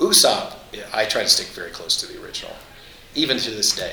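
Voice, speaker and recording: A man talks against noticeable background noise. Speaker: voice actor. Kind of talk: casual chat. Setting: convention.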